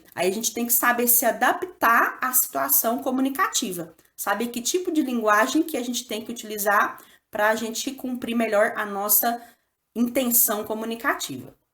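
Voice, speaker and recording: A woman with a Minas Gerais accent speaks at a moderate pace, her fairly high voice bright and sharp in tone. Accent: Minas Gerais (mineiro), strong rolled R. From Brazil, Minas Gerais. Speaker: school teacher. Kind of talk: lesson / tutorial. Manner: casual, conversational.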